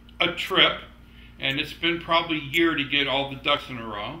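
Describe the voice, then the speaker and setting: A man speaks with fairly even intonation. Room echo is audible. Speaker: personal vlogger. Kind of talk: casual vlog chat. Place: home room. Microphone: camera far.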